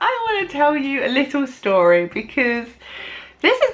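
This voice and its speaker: Loud and animated, a woman with a British accent speaks fairly slowly in a high voice that makes very wide pitch swings. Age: 20s. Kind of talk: vlog monologue. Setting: alone in her room.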